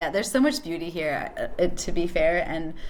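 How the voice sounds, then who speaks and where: A woman with fairly low pitch and ordinary pitch variation at a fairly quick pace, with audible room echo. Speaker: podcast host. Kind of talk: casual chat. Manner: animated.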